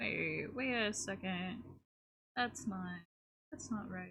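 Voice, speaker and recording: A woman with an American accent talks at a medium pitch with ordinary pitch variation, vocal fry, and a bright, sharp tone. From United States. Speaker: streamer and artist. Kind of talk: casual live-stream chat while drawing.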